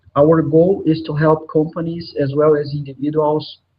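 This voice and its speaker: With a Brazilian Portuguese accent, a man talks at a fairly slow pace. His voice is fairly high and somewhat breathy. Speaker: software consultant and trainer. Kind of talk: conference presentation. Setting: live online conference. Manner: hesitant with frequent filler sounds.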